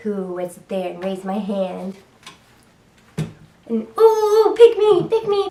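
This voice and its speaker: Over noticeable background noise, a woman talks with a Rhode Island accent. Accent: Rhode Island accent, drops R's. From US Northeast, Rhode Island. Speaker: YouTuber. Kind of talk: story time vlog. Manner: casual, many fillers.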